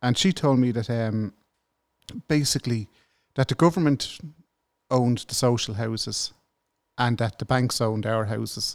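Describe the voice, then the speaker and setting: Speaking in a Dublin accent, a man of medium pitch leaves long, frequent pauses, with ordinary pitch variation and a dry, close sound with no echo on a very clean recording with a silent background. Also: moderate pace. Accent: Dublin Irish. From Ireland, north Dublin. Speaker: government whistleblower. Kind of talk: interview.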